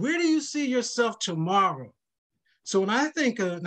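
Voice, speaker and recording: Moving at a moderate pace, a man's voice swings very widely in pitch. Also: quiet background. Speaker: financial counselor; panelist. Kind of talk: virtual workshop panel. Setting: video call. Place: home room. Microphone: webcam.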